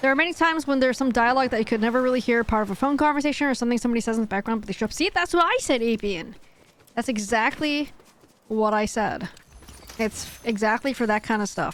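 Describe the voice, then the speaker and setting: Over noticeable background noise, a woman with an American accent talks at a very fast pace in a high pitch, with ordinary pitch variation and very even loudness. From USA, Cantonese-speaking Hong Kong family. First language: Cantonese. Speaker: gaming streamer. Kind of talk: live stream chat. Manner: casual, conversational.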